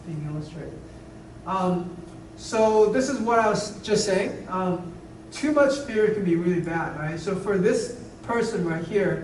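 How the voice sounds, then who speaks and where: A man speaks at a fairly slow pace with lively intonation, amid noticeable background noise and audible room echo. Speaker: lecturer. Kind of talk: lecture.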